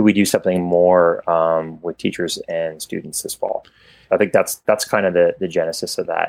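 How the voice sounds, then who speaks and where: A man speaks at a moderate pace with a Canadian accent. The sound is dry and close, with no echo. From Canada. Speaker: company executive. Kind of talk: casual interview.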